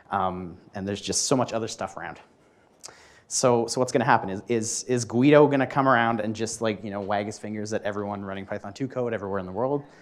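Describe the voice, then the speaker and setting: A man speaks with a Canadian accent in an unremarkable speaking voice, fairly low in pitch. His intonation is fairly even, and the recording is very clean with a silent background. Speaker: software developer, conference speaker. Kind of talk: tech meetup talk. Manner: casual, many fillers and restarts.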